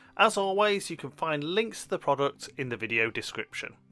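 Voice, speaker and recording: This man's tone is bright and sharp, with very wide pitch swings. He keeps a moderate pace. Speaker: product reviewer. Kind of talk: product review narration.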